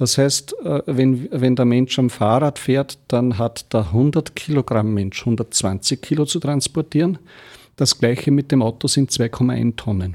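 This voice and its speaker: Very slow speech with ordinary pitch variation and very even loudness, in a dry, close recording with no echo and a silent, very clean background. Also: man. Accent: Lower Austrian. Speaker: mayor and energy pioneer. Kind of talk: radio interview.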